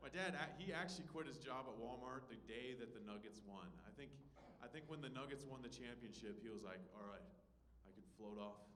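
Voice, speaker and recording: The speech moves at a fairly quick pace. Noticeable background noise and audible room echo are present. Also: man, medium pitch for a man, lively intonation. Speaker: stand-up comedian and show host. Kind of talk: stand-up. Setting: comedy club stage with audience. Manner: stumbling over words, repeats.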